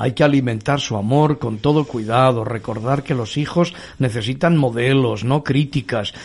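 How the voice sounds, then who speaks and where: A man's somewhat breathy, medium-pitched voice at a fairly slow pace against a quiet background. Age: 50s. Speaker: pastor and radio host. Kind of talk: religious radio talk show.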